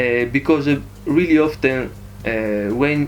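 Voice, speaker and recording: A man with an Italian accent at a fairly slow pace with ordinary pitch variation. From Italy. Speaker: vlogger. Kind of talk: casual vlog. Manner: halting, many fillers.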